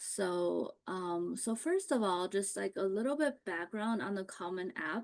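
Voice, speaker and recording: A plain, everyday voice moves at a fairly slow pace with hardly any pauses and ordinary pitch variation. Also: woman, medium pitch for a woman. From US Midwest, Ohio (moved to US at nine). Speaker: college admissions consultant. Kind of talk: online seminar presentation. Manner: conversational, many fillers.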